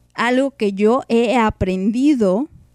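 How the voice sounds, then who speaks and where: Recorded dry and close with no echo, a woman speaks in a normal speaking voice at a fairly high pitch. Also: very clean recording, silent background. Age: 30s. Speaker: podcast host. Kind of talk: casual chat. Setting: live stream.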